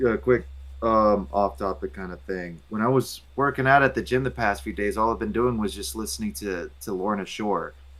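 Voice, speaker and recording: With very wide pitch swings, a man of fairly low pitch speaks at a moderate pace. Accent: American. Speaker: comics reviewer. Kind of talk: casual chat. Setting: live stream. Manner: animated.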